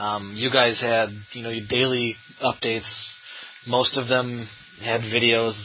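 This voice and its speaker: A man talks at a medium pitch with fairly even intonation. Noticeable background noise runs underneath. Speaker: podcast host. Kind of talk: casual interview.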